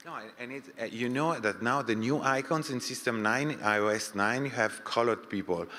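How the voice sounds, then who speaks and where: Man with a French accent at a moderate pace, ordinary pitch variation, and noticeable background noise. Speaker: audience member asking a question. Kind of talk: panel Q&A discussion. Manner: halting.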